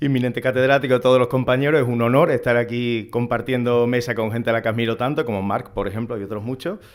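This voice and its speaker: Very fast speech from a man with an Andalusian accent, at medium pitch and with fairly even intonation. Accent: Andalusian (Seville). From Andalusia, Seville. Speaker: academic moderator. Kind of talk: conference introduction.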